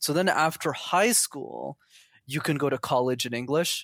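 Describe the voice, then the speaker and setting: A man with a Canadian accent uses a normal speaking voice, fairly high in pitch with ordinary pitch variation, in a very clean recording with a silent background and a dry, close sound with no echo. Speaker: interview guest. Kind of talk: casual chat.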